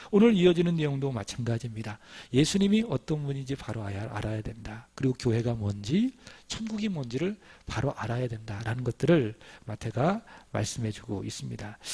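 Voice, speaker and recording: A man speaks at medium pitch and a fairly quick pace, his tone dark, mellow and somewhat breathy. His intonation is lively, and the recording is very clean with a silent background. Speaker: pastor. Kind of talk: sermon.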